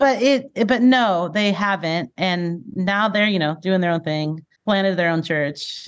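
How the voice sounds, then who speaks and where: With an American accent, a woman speaks fairly slowly in a plain, everyday voice at a medium pitch with lively intonation. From California, Bakersfield. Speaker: former youth minister and church executive. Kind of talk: casual interview.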